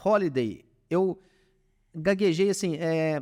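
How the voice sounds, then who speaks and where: The delivery moves at a fairly slow pace. The recording is very clean, with a silent background. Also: man. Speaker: startup founder in industrial maintenance. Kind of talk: podcast interview. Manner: casual, hesitant with fillers.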